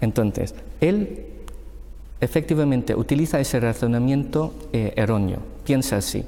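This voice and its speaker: At a moderate pace, a man speaks with very even loudness and long, frequent pauses. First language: Filipino language (speaking Spanish). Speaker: panel expert. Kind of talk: panel discussion.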